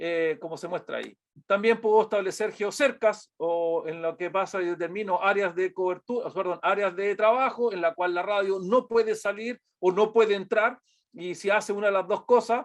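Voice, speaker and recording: A man speaks with a Chilean accent at a moderate pace. His pitch is high, with fairly even intonation. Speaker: product presenter. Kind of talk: webinar presentation. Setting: online webinar. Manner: halting with many fillers.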